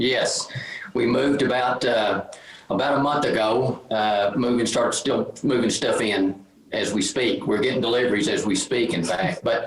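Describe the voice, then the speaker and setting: A man's medium-pitched voice with a Texan accent and ordinary pitch variation, over noticeable background noise. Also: moderate pace, very even loudness. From Texas, Lubbock. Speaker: painter. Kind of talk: casual chat.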